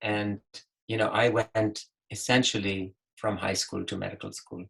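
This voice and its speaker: The sound is dry and close, with no echo. A man talks at a fairly slow pace with fairly low pitch. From Pakistan. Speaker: physician, webinar panelist. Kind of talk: webinar panel advice talk. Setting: online webinar.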